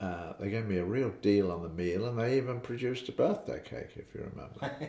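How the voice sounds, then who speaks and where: Noticeable background noise behind a man's fairly quick delivery and ordinary pitch variation. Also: medium pitch for a man. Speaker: father recounting family memories. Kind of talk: casual family interview. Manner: halting, with many fillers.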